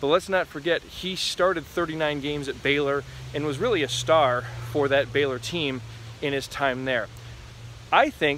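A man talks at a moderate pace with ordinary pitch variation and long, frequent pauses, the sound dry with no echo and light background noise behind him. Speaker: sports commentator. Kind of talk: commentary. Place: forest. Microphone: phone near.

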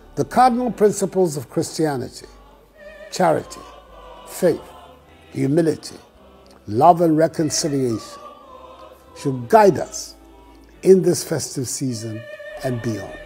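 Over faint music in the background, a man speaks at a fairly slow pace with long, frequent pauses. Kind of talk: formal holiday address. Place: office. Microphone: lapel.

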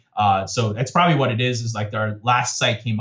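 Somewhat breathy male speech at a fairly quick pace, with fairly even intonation and a quiet background. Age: 30s. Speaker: tech startup CEO. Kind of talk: interview. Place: home room. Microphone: video call.

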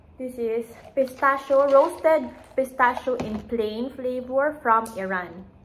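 A woman's high-pitched voice at a very slow pace, with ordinary pitch variation and light background noise. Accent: Visayan Filipino. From Philippines, Iloilo (Ilonggo region); Philippines. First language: Hiligaynon. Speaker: lifestyle vlogger. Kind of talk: casual vlog chat. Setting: at home, filming herself. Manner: casual, with hesitations. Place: home room. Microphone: phone near.

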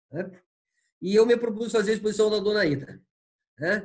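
The background is quiet. A man speaks with a high pitch. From Paraná, Brazil. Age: 70s. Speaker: art curator and professor; professor. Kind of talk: interview. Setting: video call from home. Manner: halting, many fillers. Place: home room. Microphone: video call.

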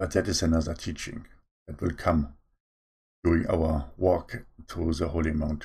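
Against a quiet background, a man with a non-native accent speaks in a very deep, low pitch, his tone dark and mellow and somewhat breathy, his intonation fairly even, with long, frequent pauses. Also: moderate pace. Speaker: online preacher. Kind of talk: sermon. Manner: stammers at times. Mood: calm, earnest. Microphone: webcam.

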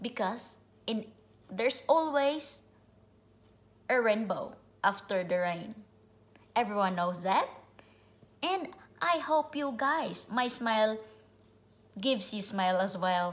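A woman's somewhat breathy, cheerful, upbeat voice at a very slow pace, with lively intonation and long, frequent pauses. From immigrant to the US, grew up abroad. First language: not English. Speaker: vlogger. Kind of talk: casual direct-to-camera vlog monologue. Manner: cheerful, upbeat, laughs often; rambling, informal. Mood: warm, upbeat, smiling. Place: home room. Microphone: phone near.

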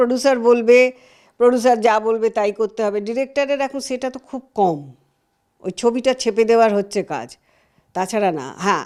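The recording is very clean with a silent background, and the speaker's intonation is lively. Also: woman. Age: 70s. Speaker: veteran film and television actress. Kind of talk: interview.

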